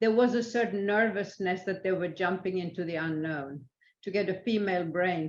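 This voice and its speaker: The speaker has a Swedish accent. Delivery is fairly slow, with ordinary pitch variation. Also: woman. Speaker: international arbitrator. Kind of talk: interview. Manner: halting, many fillers.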